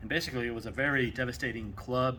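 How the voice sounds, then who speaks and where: In a Texas accent, a bright, sharp voice with vocal fry moves at a fairly quick pace against audible room echo. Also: man. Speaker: maker building a weapon prop. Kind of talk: casual workshop build commentary.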